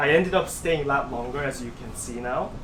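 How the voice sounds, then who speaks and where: A man speaks with a Korean accent. Noticeable background noise is present. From South Korea. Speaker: pianist and composer. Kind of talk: interview answer.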